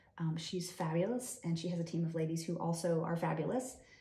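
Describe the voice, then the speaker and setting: Noticeable background noise and audible room echo surround a woman's fairly low voice. Her intonation stays fairly even. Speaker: real estate agent. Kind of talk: interview. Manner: fast.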